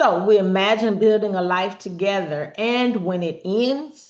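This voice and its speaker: A woman speaks in an ordinary speaking voice at a fairly slow pace with lively intonation, against a quiet background. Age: 50s. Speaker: relationship talk show host. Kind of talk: personal monologue on healing. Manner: conversational, informal.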